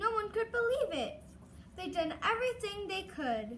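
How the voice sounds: A woman's extremely high, bright, sharp voice with big pitch swings. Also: moderate pace.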